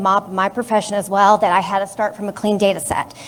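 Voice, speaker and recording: The speaker is a woman whose voice sits at a fairly high pitch. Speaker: audiologist. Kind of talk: audience question at town hall. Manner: shaky voice.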